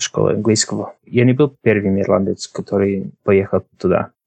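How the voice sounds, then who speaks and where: A man is speaking with an English accent. He goes at a moderate pace. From Ireland, Drogheda. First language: English (speaking Russian). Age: 20s. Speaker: podcast guest. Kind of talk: interview. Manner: halting.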